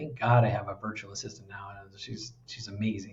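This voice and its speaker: An American accent marks this man's somewhat breathy voice at a moderate pace. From United States. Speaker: executive coach. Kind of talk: interview conversation.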